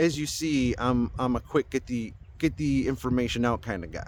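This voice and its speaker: Pitched at a medium level, a man speaks in an unremarkable speaking voice with ordinary pitch variation. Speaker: spiritual YouTuber. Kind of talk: casual monologue.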